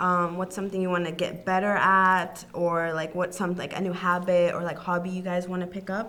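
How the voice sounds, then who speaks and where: Audible room echo on a woman's moderate-paced speech at a medium pitch. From Arkansas. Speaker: college student podcast co-host. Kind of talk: casual chat.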